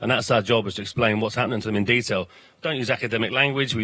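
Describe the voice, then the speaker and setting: A man with a South London accent, medium in pitch and bright, sharp in tone. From South London, then Ireland as teenager. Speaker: political educator. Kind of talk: panel interview. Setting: studio in a bar, live broadcast. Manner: animated.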